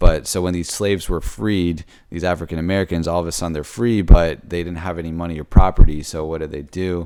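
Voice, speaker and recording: A man's very deep, low voice, dark and mellow, very fast with hardly any pauses, fairly even in intonation yet with big swings in loudness, on a very clean recording with a silent background. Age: 20s. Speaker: software engineer vlogger. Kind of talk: casual monologue. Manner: halting, stuttering; many fillers.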